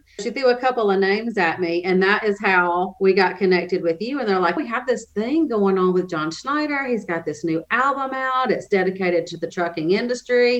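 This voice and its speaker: A woman with an unremarkable speaking voice talks at a fairly quick pace and medium pitch, with lively intonation and hardly any pauses. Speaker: nonprofit development director and podcast host. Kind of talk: interview.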